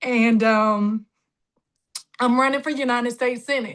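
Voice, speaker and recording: A woman speaks with a Southern US accent in a bright, sharp tone at high pitch. Her pace is fairly slow, with ordinary pitch variation. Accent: Southern drawl. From Jacksonville, Florida. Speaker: political candidate. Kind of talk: campaign speech. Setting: video call.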